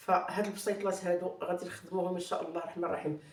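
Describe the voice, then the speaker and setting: With audible room echo and noticeable background noise, a woman of medium pitch speaks in a monotone, flat intonation. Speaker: cooking channel host. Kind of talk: cooking tutorial. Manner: hesitant with fillers.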